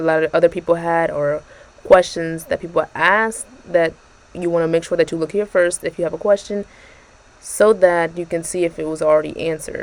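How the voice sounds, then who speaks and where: A woman speaks softly at a fairly low pitch. Her intonation stays fairly even. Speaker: YouTuber reviewing exam prep tool. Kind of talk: tutorial walkthrough. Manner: soft-spoken; casual, with fillers.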